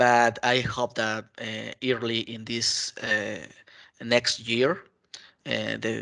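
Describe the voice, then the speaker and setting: A man speaking with a Spanish accent. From Mexico. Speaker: IT consultant and community contributor. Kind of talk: interview. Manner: halting, many fillers.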